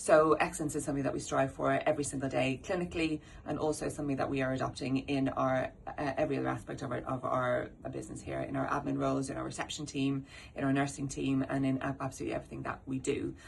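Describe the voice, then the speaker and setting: A woman with an Irish accent talks at a very fast pace. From Ireland. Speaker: dental practice owner and manager. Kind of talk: corporate presentation. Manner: halting, many fillers.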